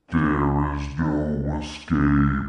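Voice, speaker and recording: In a put-on character voice, a man speaks with a very deep, low pitch and monotone, flat intonation, with a slight echo on the sound. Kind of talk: dramatic narration. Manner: big scary.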